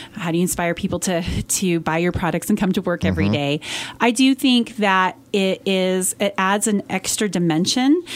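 A woman talks in an ordinary speaking voice at medium pitch and a moderate pace. Her loudness stays very even, with ordinary pitch variation. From Colorado, Western Slope (Montrose). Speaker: company CEO. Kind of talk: interview. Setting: radio studio.

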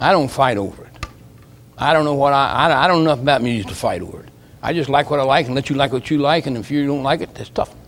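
A man with an American accent talks at a very fast pace. His pitch is fairly high, with ordinary variation. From Ohio, Akron. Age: 70s. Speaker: missionary preacher. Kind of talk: sermon. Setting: church.

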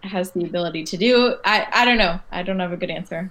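Someone with an American accent speaks at a moderate pace over a quiet background. The intonation stays fairly even, in an ordinary speaking voice. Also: woman. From Michigan. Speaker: lawyer. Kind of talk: casual chat.

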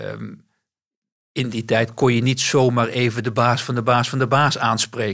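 A man's monotone, flat delivery with vocal fry. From West-Brabant, Netherlands. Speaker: bank CEO. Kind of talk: interview.

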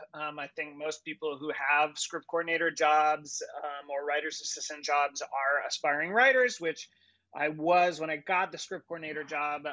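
Here is a man with a normal speaking voice and fairly high pitch. He keeps a moderate pace and fairly even intonation.

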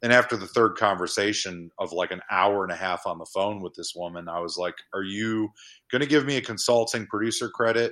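Fairly low in pitch with a bright, sharp tone, a man speaks at a fairly quick pace with ordinary pitch variation and big swings in loudness, in a very clean recording with a silent background. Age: 40s. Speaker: horror filmmaker. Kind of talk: casual chat.

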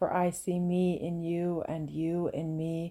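The recording is very clean, with a silent background. A woman speaks in a fairly low pitch with a dark, mellow tone. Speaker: podcast host and women's soul coach. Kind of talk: reflective monologue. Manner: calm and relaxed; slow.

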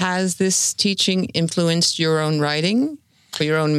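A woman uses a normal speaking voice in a fairly low pitch with ordinary pitch variation, on a very clean recording with a silent background. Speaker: arts editor interviewer. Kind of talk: interview questions.

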